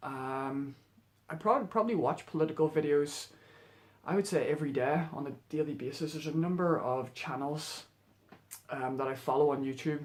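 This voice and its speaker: A man with a Northern Irish accent speaks at a moderate pace in a fairly high voice, with ordinary pitch variation and long, frequent pauses. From Northern Ireland. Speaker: vlogger. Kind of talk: casual monologue vlog. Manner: halting, many fillers.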